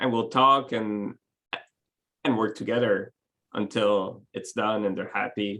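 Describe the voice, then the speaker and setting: A man with a French accent speaks at a fairly slow pace with long, frequent pauses. His medium-pitched voice keeps a fairly even intonation. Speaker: web developer, company owner. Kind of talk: interview. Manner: halting.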